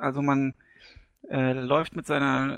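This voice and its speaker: The speaker is a man with a fairly high pitch. The sound is dry and close, with no echo. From Hesse, Germany. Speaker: gaming community member. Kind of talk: casual chat.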